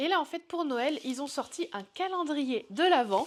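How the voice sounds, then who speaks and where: The voice belongs to a woman. Her pitch shows ordinary variation. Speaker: pet YouTuber. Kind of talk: product review vlog. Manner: casual, hesitant with fillers.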